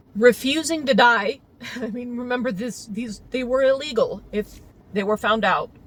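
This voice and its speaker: Over noticeable background noise, a woman speaks at a high pitch and a moderate pace, with ordinary pitch variation and big swings in loudness. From US suburbs. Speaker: teacher. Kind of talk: casual monologue.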